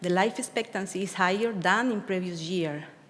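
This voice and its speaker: Ordinary pitch variation amid audible room echo. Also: woman. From Cuba. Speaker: research scientist. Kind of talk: conference presentation. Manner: halting.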